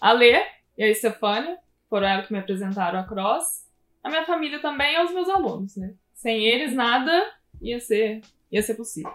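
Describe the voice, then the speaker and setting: Her pitch fairly high and swinging very widely, a woman talks at a moderate pace with long, frequent pauses. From southern Minas Gerais, Brazil (Pouso Alegre). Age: 20s. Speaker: physical education teacher, gym co-owner. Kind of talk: live-stream interview. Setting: online live stream.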